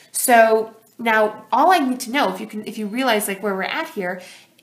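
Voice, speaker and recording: Here a woman speaks in a fairly high pitch. Her pitch varies in an ordinary way. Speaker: high school physics teacher. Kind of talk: tutorial. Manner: fast; animated.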